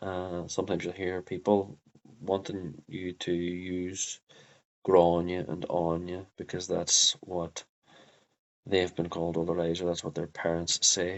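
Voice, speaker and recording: A man speaks with a Derry accent at a very deep, low pitch. His intonation is monotone and flat. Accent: Northern Irish (Derry). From Northern Ireland, Derry. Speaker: Irish language teacher. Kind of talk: tutorial. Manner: halting, many fillers.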